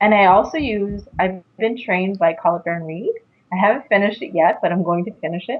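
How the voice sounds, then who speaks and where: Using a plain, everyday voice, a woman of medium pitch speaks at a fairly quick pace with ordinary pitch variation. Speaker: psychic medium and intuitive coach. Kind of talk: interview.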